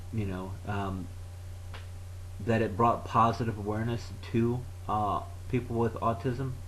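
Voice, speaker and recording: A man with a fairly low pitch talks at a fairly slow pace, with long, frequent pauses. His intonation is fairly even, and the room echo is audible. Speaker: vlogger. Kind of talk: educational talk. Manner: halting, long pauses; low energy.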